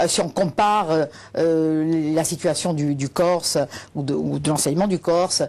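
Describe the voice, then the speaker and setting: Over a quiet background, a woman with a very deep, low pitch and a dark, mellow tone talks fairly slowly with fairly even intonation. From Corsica, Bastia. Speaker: teacher and activist. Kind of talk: TV interview. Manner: halting, many hesitations.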